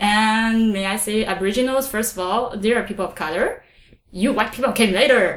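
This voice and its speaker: Someone speaks with a Chinese accent at a fairly quick pace. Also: woman, fairly high pitch for a woman. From China. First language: Mandarin Chinese. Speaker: podcast host. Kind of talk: casual chat.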